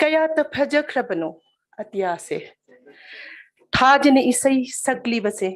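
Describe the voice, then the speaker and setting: Pausing long and often, a woman speaks at a very slow pace with a high pitch, very wide pitch swings and a Manipur accent. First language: Manipuri. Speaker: poet. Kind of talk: poetry reading. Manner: formal.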